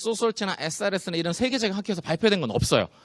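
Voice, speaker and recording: A man, in a dry, close sound with no echo. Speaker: spinal exercise specialist, seminar presenter. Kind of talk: seminar lecture with Q&A.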